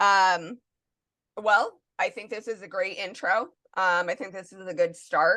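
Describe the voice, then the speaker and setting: A woman with an American accent speaks fairly slowly at a medium pitch, her bright, sharp tone showing fairly even intonation and big swings in loudness. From northeastern Pennsylvania. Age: 30s. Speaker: podcast co-host. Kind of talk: casual chat.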